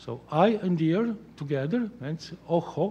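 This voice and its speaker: A man with a Slovenian accent, a dark, mellow tone, and lively intonation. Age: 60s. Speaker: art critic; guest. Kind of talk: lecture. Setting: stage with audience. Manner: halting. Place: hall. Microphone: podium.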